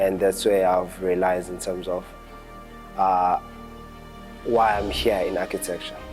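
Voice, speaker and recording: Over music in the background, a man with a very deep, low voice talks in a monotone, flat way at a fairly slow pace with long, frequent pauses. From Pietermaritzburg, South Africa. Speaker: architecture graduate. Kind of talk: interview answer.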